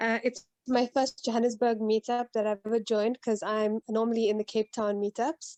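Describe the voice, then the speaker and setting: Speaking with a South African accent, a woman uses a fairly high pitch and fairly even intonation. The sound is dry and close with no echo, over a quiet background. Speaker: agile coach. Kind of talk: online meetup discussion. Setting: video call.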